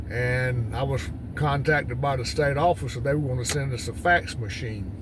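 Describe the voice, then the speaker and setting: The speaker has an eastern North Carolina accent and talks at a moderate pace with ordinary pitch variation. Noticeable background noise and audible room echo are present. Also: man, medium pitch for a man. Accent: Southern US (eastern North Carolina). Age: 60s. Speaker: retired farmer and YouTuber. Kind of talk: casual vlog monologue. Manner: halting, many fillers.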